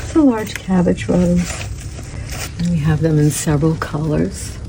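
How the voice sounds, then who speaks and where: Soft-spoken and very deep in pitch, a woman talks at a moderate pace with very wide pitch swings over noticeable background noise. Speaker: boutique owner. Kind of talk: showing store merchandise.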